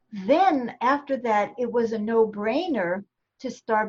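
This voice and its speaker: A woman speaks very slowly, with a fairly high pitch and a somewhat breathy sound. Her intonation is lively. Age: 70s. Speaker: pianist, author, livestream host. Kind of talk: interview answer.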